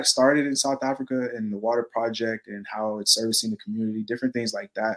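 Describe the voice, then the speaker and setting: In a normal speaking voice, a man with an American accent talks at a medium pitch with ordinary pitch variation. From Texas. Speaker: community organization member, videographer. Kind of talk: casual interview on livestream. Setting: video call livestream.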